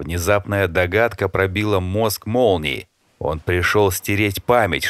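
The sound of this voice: An unforced reading voice with fairly even intonation is heard over a quiet background.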